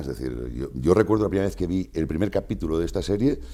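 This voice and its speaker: Very deep and low in pitch, a man speaks at a fairly quick pace with a dark, mellow tone, very wide pitch swings and vocal fry. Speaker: voice actor. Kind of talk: interview answer. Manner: casual, conversational.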